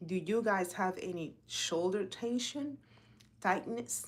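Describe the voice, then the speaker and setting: At a fairly slow pace, a woman with a Spanish accent speaks in an animated tone at a medium pitch. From Dominican Republic. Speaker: health and fitness coach. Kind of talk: casual live talk.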